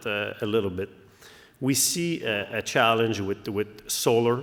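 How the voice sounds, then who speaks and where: The speaker is a man. He has a French accent. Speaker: company CEO. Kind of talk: conference presentation. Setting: stage with audience. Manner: hesitant, many fillers.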